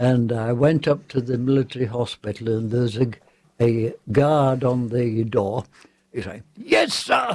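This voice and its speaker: Someone with an English accent talks at a fairly slow pace with fairly even intonation. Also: man, medium pitch for a man. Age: 90s. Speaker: war veteran. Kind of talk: interview. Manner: halting.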